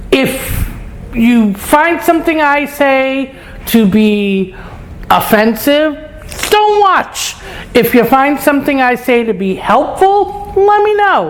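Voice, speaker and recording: A woman with a New York accent speaks at a very slow pace in a high voice, her pitch swinging very widely and her speech broken by long, frequent pauses. Noticeable background noise and audible room echo fill the recording. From New York, Brooklyn. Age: 60s. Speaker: lifestyle vlogger. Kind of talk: casual vlog monologue. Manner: casual, frank.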